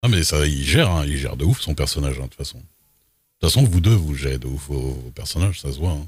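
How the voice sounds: A fast-paced man with an extremely low pitch, a slightly husky edge and lively intonation.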